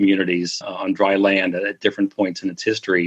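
A man with a Midwestern American accent speaks at a fairly low pitch and a fairly quick pace. His intonation is monotone and flat, and the sound is dry and close with no echo. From US Midwest (Missouri, southern Minnesota). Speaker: mystery writer and travel guidebook author. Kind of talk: interview.

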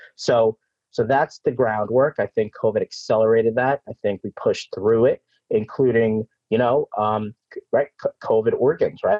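In a New York accent, a man talks at a moderate pace with very even loudness. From New York City. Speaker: organ procurement CEO.

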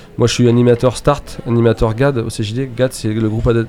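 A man speaks at a fairly quick pace in a medium pitch. His intonation is flat and monotone. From Mayenne, western France. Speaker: baker and business owner. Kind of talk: radio interview, casual chat. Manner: halting, many repetitions and fillers.

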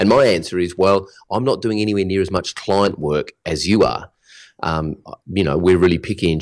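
A man with an Australian accent speaks at a moderate pace in a very deep, low pitch, with ordinary pitch variation. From Australia (Melbourne). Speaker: digital business coach. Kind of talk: interview.

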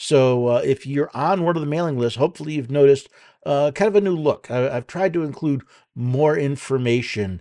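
Over a quiet background, a man with an American accent speaks at a fairly high pitch with lively intonation. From New York City. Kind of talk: solo podcast commentary with listener questions. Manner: halting with frequent repetitions and fillers.

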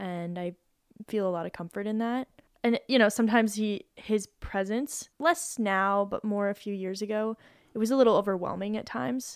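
A woman with a plain, everyday voice speaks at a moderate pace and medium pitch with ordinary pitch variation, on a very clean recording with a silent background. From Colorado, US. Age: 30s. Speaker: professional climber. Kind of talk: casual chat.

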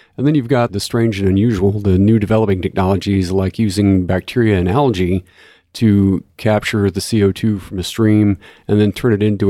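A man with a Texan accent talks at a fairly quick pace in a dark, mellow tone, his fairly low pitch held in fairly even intonation. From Texas (Corpus Christi). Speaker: chemical engineer. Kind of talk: technical explanation. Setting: in-person recording.

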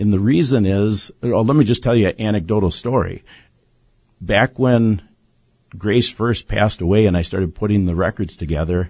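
This man has a normal speaking voice with a fairly low pitch and ordinary pitch variation. He talks at a moderate pace over a quiet background. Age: 60s. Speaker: bereaved father and medical-justice advocate. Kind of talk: studio interview. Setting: studio.

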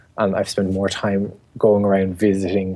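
A man with an Irish accent talks at a moderate pace in a fairly low pitch, his intonation monotone and flat. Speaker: garden blogger and writer. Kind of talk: interview.

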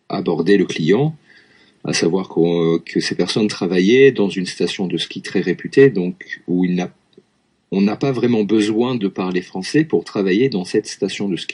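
A man with a fairly low pitch, ordinary pitch variation and an unremarkable speaking voice. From France, Lyon area. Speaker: French teacher. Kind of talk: casual chat.

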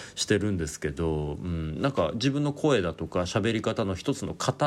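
Against a silent background on a very clean recording, a man with a very deep, low voice speaks at a moderate pace with lively intonation. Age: 30s. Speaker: podcast host. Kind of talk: solo monologue. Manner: casual, rambling with fillers.

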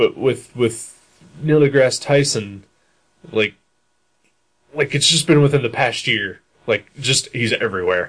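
With a Midwestern US accent, a man talks at a fairly slow pace and a medium pitch, using ordinary pitch variation and long, frequent pauses. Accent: US Midwest. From Dayton, Ohio. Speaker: podcast host. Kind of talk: casual chat.

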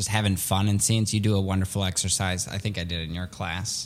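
A man with a Midwestern accent speaks with fairly even intonation. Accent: American Midwest. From Chicago area (Skokie), born in Soviet Russia. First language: Russian. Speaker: improv comedian. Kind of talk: casual interview.

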